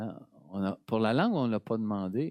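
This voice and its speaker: The man's voice carries a dark, mellow tone. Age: 70s. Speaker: priest. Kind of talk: sermon. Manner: conversational.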